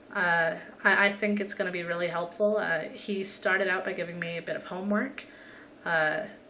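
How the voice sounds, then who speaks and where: Amid noticeable background noise and audible room echo, a woman of medium pitch talks with fairly even intonation. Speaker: vlogger. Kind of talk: personal video diary. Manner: halting, stuttering.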